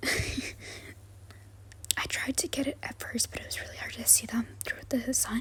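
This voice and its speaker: Whispering with an American accent, a woman uses a gentle tone over noticeable background noise. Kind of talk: ASMR soft-spoken travel vlog voice-over. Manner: soft-spoken, gentle.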